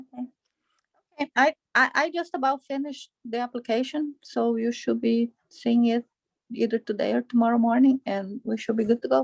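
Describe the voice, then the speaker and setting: A woman with a Brazilian accent speaks at a moderate pace in a high voice, her intonation fairly even and the sound dry and close with no echo. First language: Portuguese. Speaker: parent attendee. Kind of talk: casual chat.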